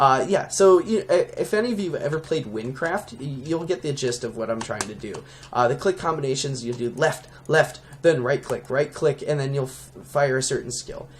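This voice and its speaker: The tone is animated, and there is noticeable background noise. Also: man, fairly high pitch for a man, lively intonation. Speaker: Minecraft plugin creator, YouTuber. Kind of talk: casual tutorial-style showcase. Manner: fast; animated, many fillers.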